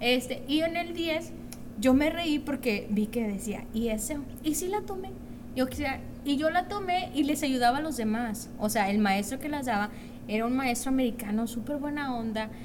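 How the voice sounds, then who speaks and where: Audible room echo surrounds the voice. The delivery keeps a moderate pace with lively intonation. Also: woman. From Mexico, Monterrey. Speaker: guest. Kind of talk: casual chat.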